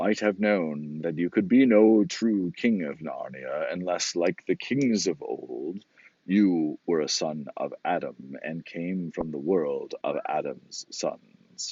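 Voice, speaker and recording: A man growls in a put-on character voice, fairly low in pitch. He goes at a fairly slow pace with hardly any pauses. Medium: read story. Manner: solemn, commanding.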